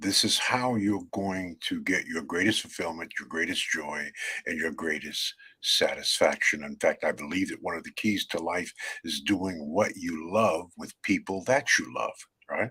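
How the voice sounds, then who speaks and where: This man talks at a moderate pace. He speaks with a New York accent. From New York, Brooklyn. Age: 70s. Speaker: author and networking speaker. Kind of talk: interview. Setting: video call. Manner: halting.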